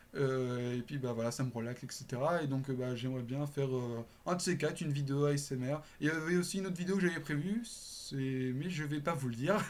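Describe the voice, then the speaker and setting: Speech comes at a fairly quick pace with hardly any pauses. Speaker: YouTuber. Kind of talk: casual chat. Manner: casual, hesitant with many fillers.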